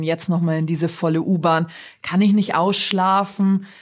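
With a slight Bavarian accent, a woman speaks at a moderate pace and a fairly low pitch with fairly even intonation, in a very clean recording over a silent background. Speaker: TV presenter. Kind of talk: casual interview.

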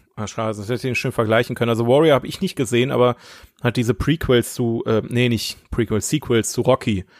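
Very fast speech from a man at medium pitch with ordinary pitch variation, recorded very cleanly against a silent background with a dry, close sound and no echo. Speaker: podcast co-host. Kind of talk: casual chat.

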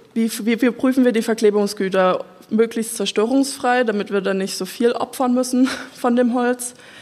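A fairly high-pitched woman at a moderate pace, fairly even intonation, noticeable background noise. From Saxony, village near Dresden. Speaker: wood technology engineer. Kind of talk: panel talk at live event.

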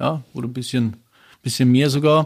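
Male voice with ordinary pitch variation. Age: 50s. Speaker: glass plant manager. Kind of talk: interview during plant tour. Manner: hesitant, many fillers.

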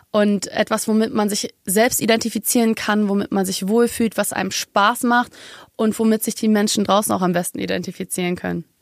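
An ordinary speaking voice from a woman with fairly high pitch moves at a fairly quick pace with fairly even intonation, in a dry, close recording with no echo. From Germany, Munich. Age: 20s. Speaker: singer. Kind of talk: casual chat. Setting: studio.

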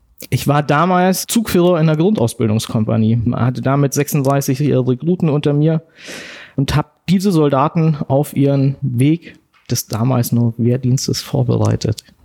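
A man talks at a fairly slow pace in a dark, mellow tone. His loudness stays very even, and his pitch varies in an ordinary way. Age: 40s. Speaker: soldier and war veteran. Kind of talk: personal testimony interview. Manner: halting.

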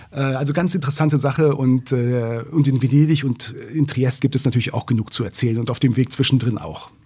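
A somewhat breathy man's voice at medium pitch, dark and mellow in tone, fairly quick with hardly any pauses and fairly even intonation. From northern Germany, Braunschweig. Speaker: journalist and author. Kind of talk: interview. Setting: studio.

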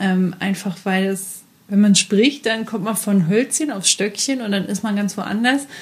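A woman speaks at a medium pitch with a somewhat breathy voice. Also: ordinary pitch variation, fairly slow pace. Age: 20s. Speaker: podcast co-host. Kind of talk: casual chat.

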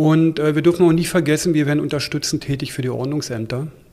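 A man's voice with fairly even intonation. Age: 50s. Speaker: police union leader and police officer. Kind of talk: interview. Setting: in a room at a newspaper office. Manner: hesitant with frequent fillers.

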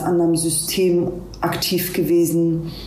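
A woman's fairly low, monotone, flat voice, with audible room echo and noticeable background noise. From Hamburg, Germany. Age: 40s. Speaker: police officer. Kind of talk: interview.

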